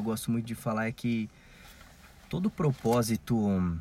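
At a fairly slow pace, the voice carries a dark, mellow tone. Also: man. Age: 20s. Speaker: podcast co-host. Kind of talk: casual chat.

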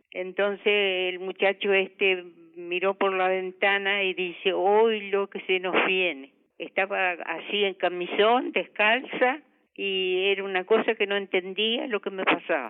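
Speaking fairly slowly in an Argentine Litoral accent, a woman's voice sits at a medium pitch. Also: fairly even intonation. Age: 80s+. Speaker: grandmother, fire victim. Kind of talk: interview testimony. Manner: halting.

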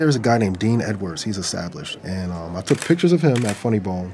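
Speaking at a fairly quick pace with an American accent, a man with a fairly low pitch is heard over noticeable background noise and audible room echo. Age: 40s. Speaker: comedian and forklift operator. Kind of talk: casual interview talk.

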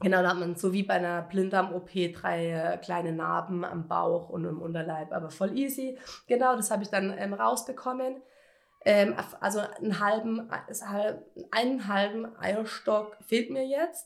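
An unremarkable speaking voice with ordinary pitch variation. The pace is fairly slow. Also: woman. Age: 20s. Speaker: cancer patient podcaster. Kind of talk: personal testimony monologue. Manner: casual, many fillers.

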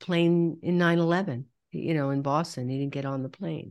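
A normal speaking voice moves at a moderate pace with lively intonation on a very clean recording with a silent background. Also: woman. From New York. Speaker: soul healer and trauma counselor. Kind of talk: interview.

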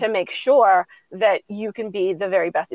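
With an unremarkable speaking voice, a woman talks at a fairly high pitch and ordinary pitch variation. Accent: American. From suburban US. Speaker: business coach and educator. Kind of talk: interview conversation.

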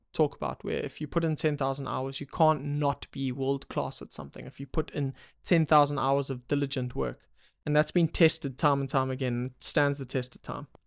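Speaking at a fairly quick pace with flat, monotone intonation, a man with a fairly high voice sounds dry and close with no echo in a very clean recording with a silent background. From South Africa, Durban (KwaZulu-Natal). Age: 20s. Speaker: podcast host. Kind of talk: solo monologue answering questions. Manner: casual, some hesitations and repeats.

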